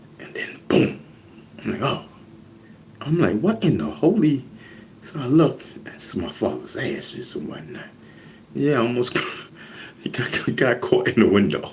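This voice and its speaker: In an animated tone, a man with a New York accent speaks at a moderate pace, with long, frequent pauses and big swings in loudness. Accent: New York Bronx. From New York, the Bronx (Castle Hill). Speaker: hip hop veteran, live streamer. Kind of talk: casual live stream chat.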